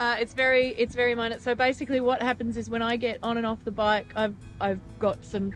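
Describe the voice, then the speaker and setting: Moderate-paced speech from a woman, dry with no echo, faint music in the background. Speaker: travel vlogger. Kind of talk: casual vlog chat. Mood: cheerful. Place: street. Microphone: phone near.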